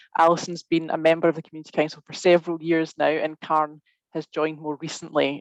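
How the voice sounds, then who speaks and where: In a Scottish accent, a woman with a very deep, low pitch speaks at a fairly quick pace in a dry, close sound with no echo. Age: 30s. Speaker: webinar host. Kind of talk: webinar hosting. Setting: video call.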